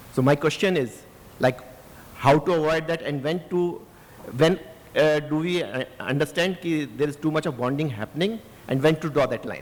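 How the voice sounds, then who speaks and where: Fairly high-pitched male voice at a moderate pace, with ordinary pitch variation, long, frequent pauses and noticeable background noise. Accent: Indian. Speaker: audience member, app developer. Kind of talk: audience question. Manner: halting.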